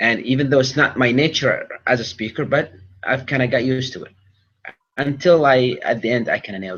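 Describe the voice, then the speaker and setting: A man talks at a fairly quick pace and a medium pitch. His intonation is fairly even, but his loudness swings widely. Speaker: public speaking champion. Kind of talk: interview. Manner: fast. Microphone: connection issues.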